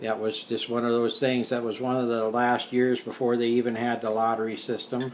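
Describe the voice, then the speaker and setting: Monotone and flat, a man with an American accent talks at a moderate pace. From South Dakota, US Midwest. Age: 60s. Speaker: retired teacher and war veteran. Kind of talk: interview. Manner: hesitant, many fillers.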